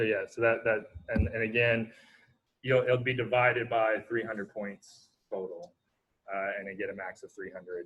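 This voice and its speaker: A man's unremarkable speaking voice, medium in pitch, with fairly even intonation and big swings in loudness. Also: moderate pace. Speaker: university lecturer. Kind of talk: lecture. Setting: video call.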